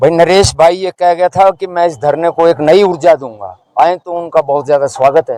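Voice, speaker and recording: Moving at a moderate pace with hardly any pauses, a man speaks in a high pitch and a dark, mellow tone with ordinary pitch variation, the sound dry and close with no echo. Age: 70s. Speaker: elderly protester on hunger strike. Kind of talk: street interview.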